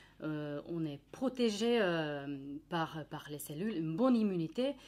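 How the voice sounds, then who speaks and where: Her intonation lively, a woman speaks. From Finland. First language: Finnish (speaking French). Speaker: nutritionist. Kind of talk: educational presentation. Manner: hesitant, many fillers.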